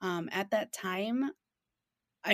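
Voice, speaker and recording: A woman with a Chicago accent and lively intonation on a very clean recording with a silent background. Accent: Chicago-area American. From Chicago western suburbs, US. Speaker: small business founder and event organizer. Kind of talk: interview. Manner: halting, many fillers.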